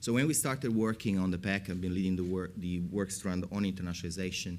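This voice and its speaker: Speaking at a very fast pace, a man has a very deep, low voice with an Italian accent. His pitch varies in an ordinary way. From Italy. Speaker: academic researcher. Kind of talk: panel discussion.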